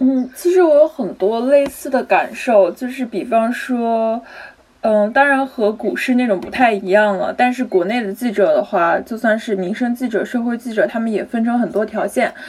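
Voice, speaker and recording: A woman with a fairly high pitch and ordinary pitch variation speaks at a moderate pace while noticeable noise sounds in the background. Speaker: journalism graduate student. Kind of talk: casual panel discussion.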